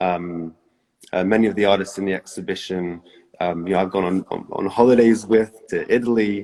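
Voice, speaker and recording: In a dark, mellow tone, a man talks at a fairly quick pace, at a fairly low pitch with fairly even intonation. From Canada and Britain. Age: 20s. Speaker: painter. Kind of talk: livestream conversation. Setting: Instagram livestream. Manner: hesitant, many fillers.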